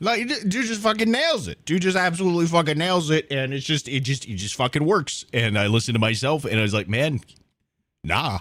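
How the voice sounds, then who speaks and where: Speaking with an American accent, a man talks at a fairly quick pace. His voice carries vocal fry and very wide pitch swings. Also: fairly high pitch for a man, very clean recording, silent background. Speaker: streamer and 3D modeler. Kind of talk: casual live stream chat. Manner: halting, repetitive.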